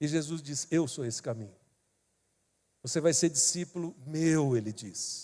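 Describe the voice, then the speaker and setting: On a very clean recording with a silent background, a man with a dark, mellow tone and fairly high pitch speaks at a fairly slow pace with lively intonation. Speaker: pastor. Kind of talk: sermon.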